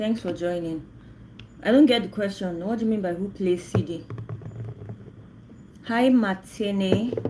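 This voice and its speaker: Speaking at a fairly slow pace with long, frequent pauses, a woman with a Nigerian accent uses a medium pitch and ordinary pitch variation against noticeable background noise. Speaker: livestreamer. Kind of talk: casual chat.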